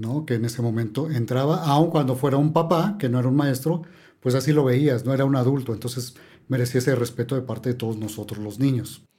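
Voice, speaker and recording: A man speaks at a fairly quick pace in a dark, mellow tone. He sounds somewhat breathy, with ordinary pitch variation. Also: medium pitch for a man. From Mexico City. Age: 50s. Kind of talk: casual chat.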